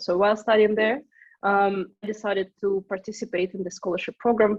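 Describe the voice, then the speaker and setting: Speaking at a fairly quick pace, a woman with a Russian accent uses a medium pitch. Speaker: startup co-founder. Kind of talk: interview.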